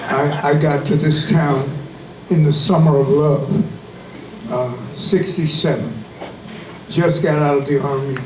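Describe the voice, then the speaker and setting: With noticeable background noise and audible room echo, a man speaks fairly slowly at a fairly high pitch, his intonation fairly even and his pauses long and frequent. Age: 70s. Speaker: civil rights activist, Army veteran. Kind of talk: rally speech.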